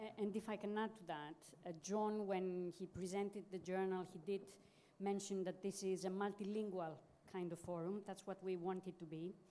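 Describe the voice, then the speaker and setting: A woman speaks at a moderate pace with a medium pitch and a dark, mellow tone. Her intonation is monotone and flat. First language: not English. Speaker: journal editor, academic. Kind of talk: panel discussion.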